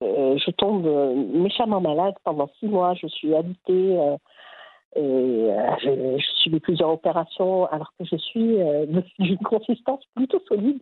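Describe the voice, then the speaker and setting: Very wide pitch swings from a woman with a medium-pitched voice. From Morocco, Agadir. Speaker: rural heritage project founder. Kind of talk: interview. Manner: halting.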